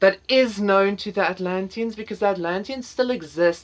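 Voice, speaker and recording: This woman's voice sits at a medium pitch and moves at a moderate pace. Her pitch swings very widely. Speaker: tarot reader. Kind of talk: pick-a-card tarot reading. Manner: halting, many fillers and repetitions.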